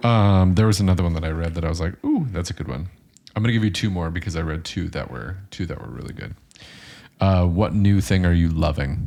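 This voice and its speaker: Loud and at a fairly quick pace, a man speaks in a very deep, low voice with a dark, mellow tone and ordinary pitch variation. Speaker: podcast co-host, teacher abroad. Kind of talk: casual chat.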